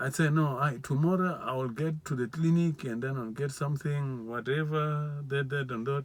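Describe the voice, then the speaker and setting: A man with a non-native accent speaks at a moderate pace in a fairly high voice. His intonation is fairly even, and he barely pauses. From South Africa, Limpopo. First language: not English. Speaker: vlogger. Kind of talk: testimony. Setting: live video. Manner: repetitive, halting.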